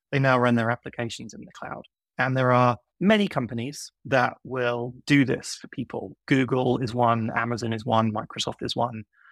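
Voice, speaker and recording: Recorded dry and close with no echo, a man with an American accent speaks at a moderate pace and medium pitch with fairly even intonation. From UK. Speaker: software consultant. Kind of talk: casual interview.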